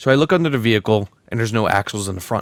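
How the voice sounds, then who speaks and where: A man with an American accent talks very fast in an animated tone, his medium pitch moving in an ordinary way. The recording is very clean with a silent background, and the sound is dry and close with no echo. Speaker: podcast co-host. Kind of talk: casual chat.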